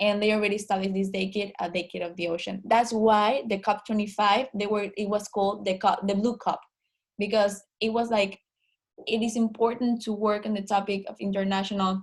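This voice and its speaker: Somewhat breathy, a woman talks at a medium pitch and a fairly quick pace. Her intonation is monotone and flat. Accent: Spanish. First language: Spanish. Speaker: online meeting organizer. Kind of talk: online group meeting. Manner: hesitant, many fillers.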